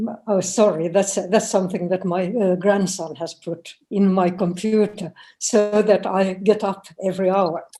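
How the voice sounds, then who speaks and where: A woman speaks fairly slowly in a dark, mellow tone, with hardly any pauses. Her intonation is flat and monotone. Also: medium pitch for a woman. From Finland. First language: Finnish and Swedish. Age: 80s+. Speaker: professor. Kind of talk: lecture.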